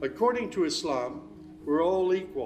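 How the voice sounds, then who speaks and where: A man talks with an American accent. Background music can be heard. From United States. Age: 60s. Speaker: former pastor, convert to Islam. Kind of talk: personal testimony.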